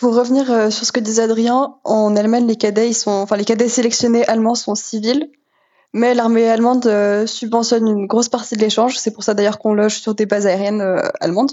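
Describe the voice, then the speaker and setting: Her intonation monotone and flat, a woman talks at a fairly quick pace in a fairly high pitch. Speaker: student pilot. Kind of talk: interview.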